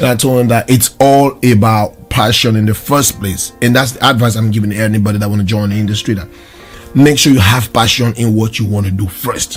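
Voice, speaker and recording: A man's fairly quick, fairly evenly intoned speech over music in the background. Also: medium pitch for a man. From Southern Cameroon (Ambazonia). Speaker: video production studio owner. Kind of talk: interview answer. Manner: optimistic.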